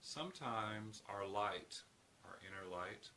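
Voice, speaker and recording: A man's voice sits at a fairly low pitch. He speaks at a very slow pace. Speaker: healthcare professional. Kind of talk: casual talk to camera.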